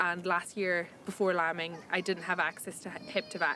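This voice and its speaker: A woman speaks in a Hebridean accent at medium pitch. Her pace is fairly quick. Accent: Hebridean Scottish. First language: Scottish Gaelic. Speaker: crofter. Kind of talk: documentary interview.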